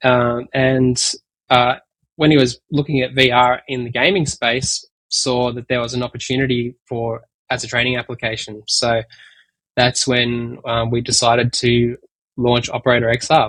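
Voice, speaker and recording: A man speaks at a moderate pace with an Australian accent, his medium-pitched voice flat and monotone. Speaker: tech company executive. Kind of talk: interview. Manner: hesitant, many fillers.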